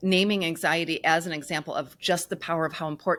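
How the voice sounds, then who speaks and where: In a very clean recording with a silent background, a woman speaks in a plain, everyday voice, fairly low in pitch, with fairly even intonation. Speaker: grief podcast host. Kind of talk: podcast interview host.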